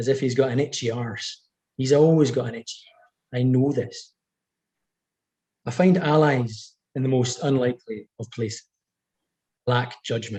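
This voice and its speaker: A man with a medium-pitched, somewhat breathy voice and a dark, mellow tone speaks at a moderate pace with fairly even intonation and long, frequent pauses. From Scottish Highlands, north of Inverness. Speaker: author. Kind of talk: reading aloud.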